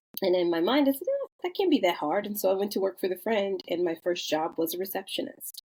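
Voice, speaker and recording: A woman at a very fast pace, medium pitch, lively intonation and hardly any pauses. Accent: Chicago. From US Midwest, south side of Chicago. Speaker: construction company founder. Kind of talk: podcast interview.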